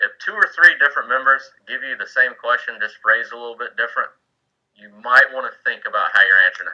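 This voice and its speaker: A man with a Southern US accent talks at a very fast pace, his loudness swinging widely. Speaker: Coast Guard senior chief mentoring board candidates. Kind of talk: informal mentoring talk on a video call. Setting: online video meeting from home man cave. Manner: casual, with many fillers and restarts.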